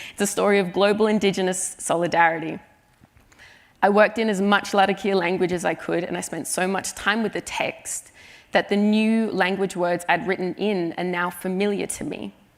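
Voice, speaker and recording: A woman speaks with an Australian accent. Her intonation is flat and monotone, at a moderate pace. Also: medium pitch for a woman. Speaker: writer. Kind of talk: conference talk.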